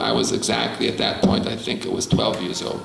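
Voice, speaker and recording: Amid noticeable background noise and audible room echo, a man with a New York accent talks at a fairly quick pace. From US Northeast, New York City (Bronx). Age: 70s. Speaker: rabbi. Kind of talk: lecture.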